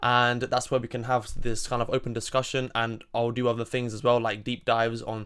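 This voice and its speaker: Recorded very cleanly with a silent background, a man with a southern English accent speaks at a fairly quick pace and medium pitch. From southern England, Surrey. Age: 20s. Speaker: political commentator. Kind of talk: monologue.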